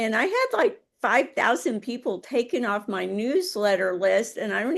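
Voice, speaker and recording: A woman speaks at a moderate pace in a fairly high pitch with lively intonation and vocal fry. The background is quiet. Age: 70s. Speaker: holistic health author and radio show host. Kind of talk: casual interview chat.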